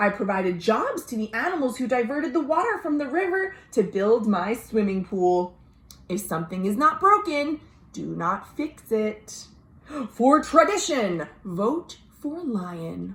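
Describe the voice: Putting on a character voice, a woman speaks at a fairly slow pace. Her fairly high pitch has a fairly bright tone and big pitch swings.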